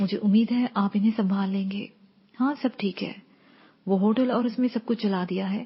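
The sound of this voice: This is an unforced reading voice. The words come out in an unforced reading voice.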